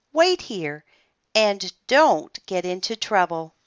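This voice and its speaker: A put-on character voice, female-sounding and middle in pitch, at a very slow pace. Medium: read story.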